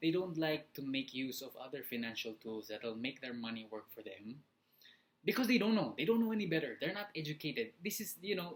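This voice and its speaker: Speaking with a Filipino accent at a fairly quick pace, the voice makes very wide pitch swings. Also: man. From Philippines. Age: 20s. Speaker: motivational vlogger. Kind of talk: casual vlog talk. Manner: halting, many fillers.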